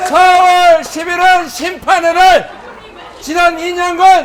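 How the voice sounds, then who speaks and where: Over crowd noise in the background, a man shouts at an extremely high pitch with fairly even intonation. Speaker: politician, party leader. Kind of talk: campaign rally speech. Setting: outdoors. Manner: shouting.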